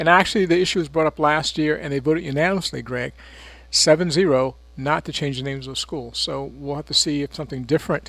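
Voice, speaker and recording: An ordinary speaking voice from a man with an American accent, fairly high in pitch, fairly even in intonation, at a fairly quick pace, on a very clean recording with a silent background. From North Carolina, Chapel Hill. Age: 60s. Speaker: city mayor. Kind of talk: radio interview.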